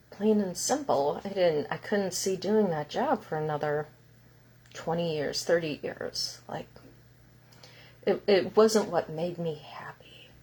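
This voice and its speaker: A woman talks at a fairly slow pace in a fairly low, somewhat breathy voice with a dark, mellow tone, big swings in loudness, and long, frequent pauses. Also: ordinary pitch variation. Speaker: healing center owner and spiritual teacher. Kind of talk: live stream talk.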